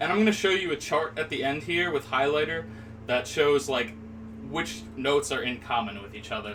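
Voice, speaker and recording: Over noticeable background noise, a man speaks at a medium pitch and moderate pace with lively intonation. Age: 20s. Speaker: music teacher. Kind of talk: tutorial. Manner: casual, hesitant with fillers.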